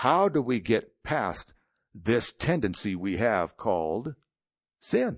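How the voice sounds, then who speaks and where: The voice swings very widely in pitch. The background is quiet. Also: man. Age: 60s. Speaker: guest preacher. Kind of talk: sermon. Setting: church with congregation. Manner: conversational.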